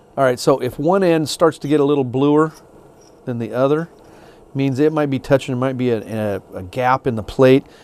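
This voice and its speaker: A man talks at a moderate pace with a medium pitch and ordinary pitch variation, in an unremarkable speaking voice. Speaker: gunsmith instructor. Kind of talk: tutorial. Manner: casual.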